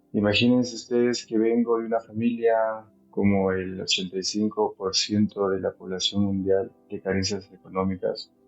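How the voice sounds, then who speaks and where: Music in the background beneath fairly even intonation and a moderate pace. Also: man, fairly low pitch for a man. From Peru, Huaraz (Andes). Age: 30s. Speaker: mountaineer. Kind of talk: testimony.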